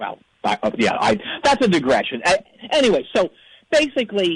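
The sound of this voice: Putting on a character voice, a man speaks at a fairly quick pace and high pitch with very wide pitch swings and a slightly husky edge.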